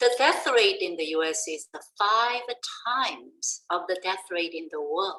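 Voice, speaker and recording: A woman with a non-native accent speaks at a fairly slow pace with lively intonation. Her loudness swings widely. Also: medium pitch for a woman. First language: not English. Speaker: education professor, presenter. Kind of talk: webinar presentation.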